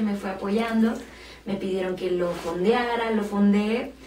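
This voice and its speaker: Amid light background noise and audible room echo, a woman with a medium pitch speaks at a moderate pace. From Mexico City. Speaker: singer-songwriter and violinist. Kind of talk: interview. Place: studio.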